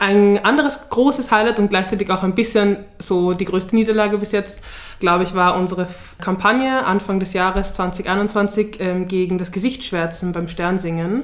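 A woman with an unremarkable speaking voice talks at a moderate pace, her medium pitch rising and falling in an ordinary way. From Vienna, Austria. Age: 20s. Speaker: student activist. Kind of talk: interview.

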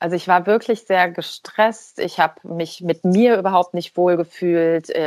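A woman talks at a very slow pace with fairly even intonation, on a very clean recording with a silent background and a dry, close sound with no echo. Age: 40s. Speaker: life coach and speaker. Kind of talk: interview conversation.

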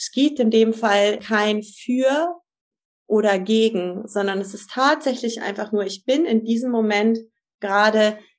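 A woman speaks at a very slow pace. Her voice is fairly high, with ordinary pitch variation. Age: 50s. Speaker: family and couples coach. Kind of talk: interview.

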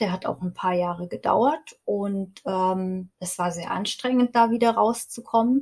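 With ordinary pitch variation, a woman's somewhat breathy voice holds a medium pitch. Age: 40s. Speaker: stress and burnout coach. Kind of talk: podcast interview.

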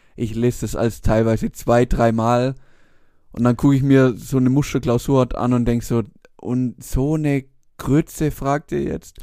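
The recording is very clean with a silent background, and a man of medium pitch talks at a moderate pace in a dark, mellow tone with fairly even intonation. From Swabia, Germany. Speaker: podcast co-host. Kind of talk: casual chat.

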